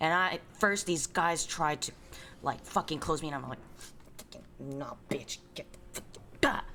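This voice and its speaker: A woman whispering in an American accent, with big swings in loudness. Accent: Bay Area accent, comes out strongly at times. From US West Coast, San Francisco Bay Area. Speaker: streamer. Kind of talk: casual chat. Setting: live stream. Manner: animated; fast.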